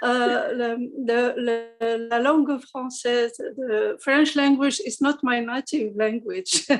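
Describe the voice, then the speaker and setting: A woman speaks with an Arabic accent at a high pitch. Her pace is very slow. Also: ordinary pitch variation. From Morocco. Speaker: organization representative. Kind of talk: remarks in online seminar. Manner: halting.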